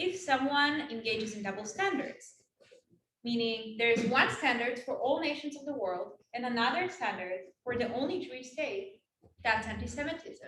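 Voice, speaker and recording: Her high voice full of lively intonation and big swings in loudness, a woman speaks at a moderate pace, with audible room echo. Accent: Israeli. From Israel, West Bank settlement. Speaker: Israel advocate and speaker. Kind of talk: campus talk Q&A.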